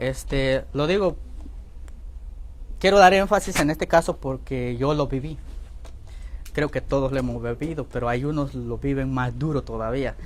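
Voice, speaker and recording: The speaker talks with a Guatemalan accent and long, frequent pauses. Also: moderate pace. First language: K'iche' (speaking Spanish). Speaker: Bible institute teacher. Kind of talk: lecture. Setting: church classroom, also streamed online.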